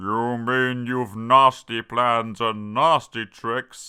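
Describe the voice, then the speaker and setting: Speaking very slowly, a man puts on a character voice. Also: medium pitch for a man. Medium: read story.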